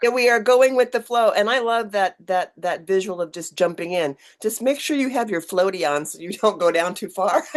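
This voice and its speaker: A woman talks at a moderate pace with hardly any pauses, medium pitch and lively intonation, a plain, everyday voice. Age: 60s. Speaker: online community owner and podcast host. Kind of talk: casual chat.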